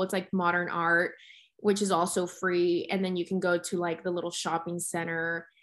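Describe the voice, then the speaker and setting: An unremarkable speaking voice at a moderate pace, on a very clean recording with a silent background. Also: woman. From Texas (Dallas), born in Mexico City. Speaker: beauty entrepreneur and blogger. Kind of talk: interview.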